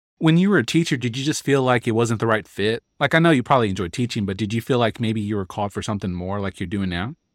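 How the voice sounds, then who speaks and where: Speaking at a very fast pace with lively intonation and hardly any pauses, a man comes through in a very clean recording with a silent background and a dry, close sound with no echo. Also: medium pitch for a man. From El Paso, Texas. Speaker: podcast host. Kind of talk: casual interview; scripted narration.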